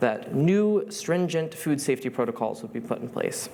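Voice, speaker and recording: In a normal speaking voice with an American accent, a man talks at a moderate pace with lively intonation. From US, Rochester NY. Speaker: student speaker. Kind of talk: talk to an audience.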